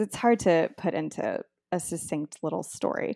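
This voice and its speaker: In a very clean recording with a silent background and a dry, close sound with no echo, a woman speaks at a fairly slow pace with a fairly low pitch, a dark, mellow tone and ordinary pitch variation. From Texas, near the Mexican border. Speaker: author. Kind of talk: interview.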